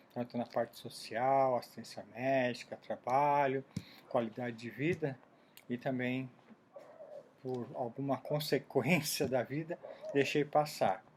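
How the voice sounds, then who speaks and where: A man's medium-pitched, fairly slow delivery, fairly even in intonation and broken by long, frequent pauses. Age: 60s. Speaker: vlogger. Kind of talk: personal video diary monologue. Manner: halting, self-correcting.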